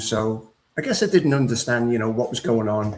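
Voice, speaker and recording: Medium in pitch, the man's voice shows ordinary pitch variation. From England, Liverpool. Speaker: author and speaker on grief. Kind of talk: personal testimony in an interview.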